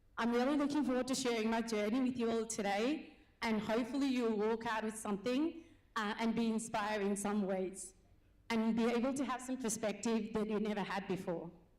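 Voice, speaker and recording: In a room with audible echo, a woman speaks at a fairly quick pace with a fairly high pitch, very even loudness, and fairly even intonation. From Nepal. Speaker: business owner and nurse. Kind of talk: conference speech.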